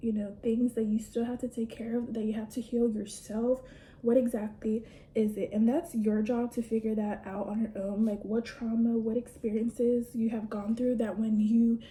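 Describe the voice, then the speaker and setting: In a monotone, flat delivery, a woman with a fairly high pitch speaks at a moderate pace against noticeable background noise. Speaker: beauty vlogger. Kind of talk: casual chat while doing makeup.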